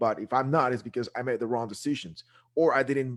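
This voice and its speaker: A man with a Guatemalan accent speaks at a very fast pace with ordinary pitch variation, recorded very cleanly against a silent background. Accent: Guatemalan Spanish accent, noticeable. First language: Spanish. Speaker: real estate investor, show co-host. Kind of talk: casual interview chat. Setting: live video show.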